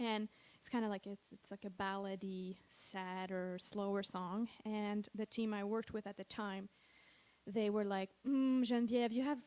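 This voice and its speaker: Fairly even in intonation, a woman speaks at a medium pitch and a moderate pace. She has a slight French Canadian accent. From Quebec, Montreal. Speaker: singer-songwriter. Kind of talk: stage banter between songs. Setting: stage with audience. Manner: casual, hesitant with fillers.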